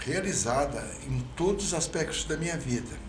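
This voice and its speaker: Audible room echo and noticeable background noise surround this man's voice. He talks very slowly, his pitch fairly high. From Brazil, Franca (São Paulo state). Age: 70s. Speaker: mayoral candidate, physician. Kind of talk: interview. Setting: podcast.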